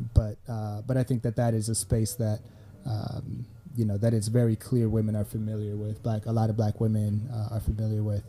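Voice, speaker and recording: In a fairly low pitch, a man talks with a dark, mellow tone, somewhat breathy and in a monotone, flat intonation. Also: moderate pace. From Sweden. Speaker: media company founder, brand consultant. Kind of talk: casual chat.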